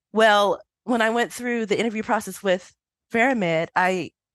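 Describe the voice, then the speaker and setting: Over a quiet background, a woman with an unremarkable speaking voice and an American accent talks at a fairly quick pace with lively intonation, the sound dry and close with no echo. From United States. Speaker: statistician. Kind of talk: interview. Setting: podcast recording.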